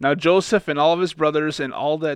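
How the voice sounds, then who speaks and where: A man talks at a moderate pace in an unremarkable speaking voice with a fairly high pitch. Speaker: Bible discussion panelist. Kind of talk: casual discussion with scripture reading.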